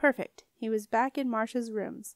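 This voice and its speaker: Dry and close with no echo, the very clean recording with a silent background carries speech at a moderate pace with ordinary pitch variation. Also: woman. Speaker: audiobook narrator. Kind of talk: dramatic audiobook narration with character voices. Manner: animated, expressive storytelling.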